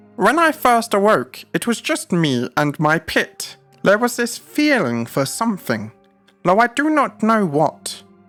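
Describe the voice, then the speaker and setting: In a put-on character voice, the speaker talks at a fairly slow pace with a fairly high pitch and very wide pitch swings, over faint music in the background. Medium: read story. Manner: lofty, archaic speech.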